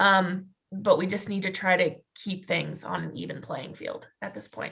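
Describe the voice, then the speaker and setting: At a moderate pace, a woman speaks in a medium pitch with vocal fry and ordinary pitch variation. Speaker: animal science student or young professional. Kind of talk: group discussion on video call. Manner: loud.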